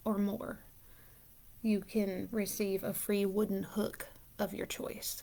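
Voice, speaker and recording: A woman speaks softly at a very slow pace. Her pitch sits in the medium range. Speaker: yarn shop owner. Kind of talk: live stream chat. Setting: at home, live video. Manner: soft-spoken; casual.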